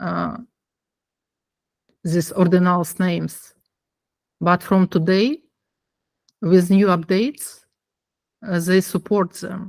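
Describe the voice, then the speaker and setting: A woman of medium pitch talks at a very slow pace with fairly even intonation and long, frequent pauses, in a dry, close sound with no echo. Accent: non-native. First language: not English. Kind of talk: online meeting discussion. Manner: halting.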